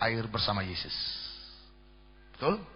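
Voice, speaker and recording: Room echo is audible around a man's voice. His pitch varies in an ordinary way. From Jakarta, Indonesia (Batak ethnicity). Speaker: pastor. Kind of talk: sermon.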